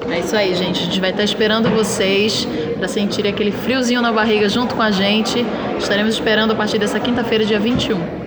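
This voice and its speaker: The talking is very fast, with flat, monotone intonation. Noticeable background noise and audible room echo fill the recording. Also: woman, fairly high pitch for a woman, very even loudness. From interior of Pernambuco, Brazil. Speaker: actress. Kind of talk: casual interview.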